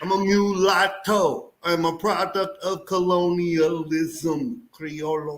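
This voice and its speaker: A man speaks in a Texas accent. His voice is high in pitch. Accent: Texas twang. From Southeast Texas (Houston). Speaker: navy veteran, aquarium hobby show host. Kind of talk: casual chat. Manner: animated.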